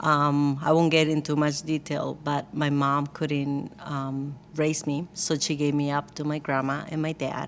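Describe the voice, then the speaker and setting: At a fairly slow pace, a woman with a Costa Rican accent speaks in a very deep, low voice, monotone and flat, with hardly any pauses. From Costa Rica, San Jose. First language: Spanish. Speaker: church worship team member. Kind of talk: casual interview.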